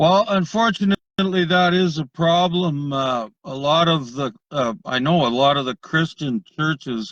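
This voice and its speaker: An unremarkable speaking voice moves at a fairly slow pace with hardly any pauses. Its intonation is lively. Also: man, fairly high pitch for a man. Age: 60s. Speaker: viewer on call. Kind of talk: casual chat.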